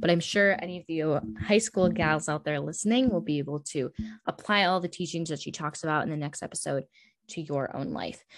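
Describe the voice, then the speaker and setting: In a very clean recording with a silent background, a woman with a fairly low pitch speaks at a fairly quick pace with ordinary pitch variation. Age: young. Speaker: podcast host. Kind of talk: casual chat. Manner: animated.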